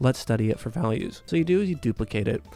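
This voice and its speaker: A man speaks quietly at a very fast pace with lively intonation. Music plays in the background. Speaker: art tutorial youtuber. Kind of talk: tutorial. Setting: at home early morning. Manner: casual.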